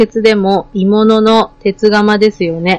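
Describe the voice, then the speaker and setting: The sound is dry and close, without any echo. A woman talks at a very slow pace. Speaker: podcast guest. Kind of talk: casual chat.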